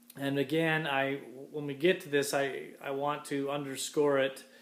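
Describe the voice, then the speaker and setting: Speaking at a very slow pace, a man is heard with audible room echo around him. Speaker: college instructor. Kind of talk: recorded class lecture. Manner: hesitant, many fillers.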